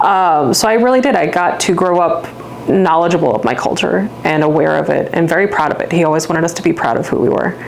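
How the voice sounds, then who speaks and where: With noticeable background noise and audible room echo, a woman talks fairly quickly in a fairly low voice. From Louisiana, St. Bernard Parish. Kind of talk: interview.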